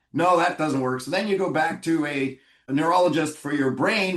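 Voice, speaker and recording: Speaking with fairly even intonation, a man with a normal speaking voice and a Canadian accent has a fairly high pitch. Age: 60s. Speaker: physician. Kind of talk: interview.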